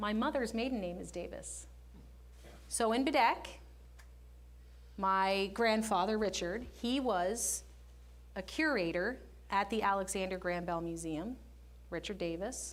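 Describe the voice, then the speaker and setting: A woman with vocal fry and ordinary pitch variation speaks with long, frequent pauses amid audible room echo. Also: medium pitch for a woman, fairly slow pace. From Canada, Nova Scotia. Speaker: guest speaker. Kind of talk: public talk. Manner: animated.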